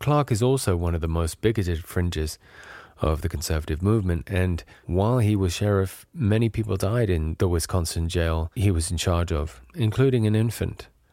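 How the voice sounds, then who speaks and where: A man speaks at a moderate pace in a very deep, low pitch with a dark, mellow tone and ordinary pitch variation, recorded very cleanly against a silent background. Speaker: podcast host. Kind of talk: scripted narration.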